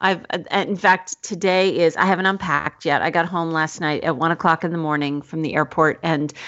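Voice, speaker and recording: Using an ordinary speaking voice, a woman talks at a fairly quick pace with fairly low pitch and fairly even intonation. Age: 40s. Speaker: teacher and writer, podcast co-host. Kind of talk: interview.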